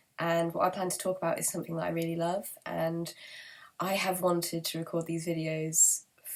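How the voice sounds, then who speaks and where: Speaking in a British accent, a woman keeps a fairly low pitch. Her pace is fairly quick. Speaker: book vlogger. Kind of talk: casual monologue to camera. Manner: hesitant, many fillers.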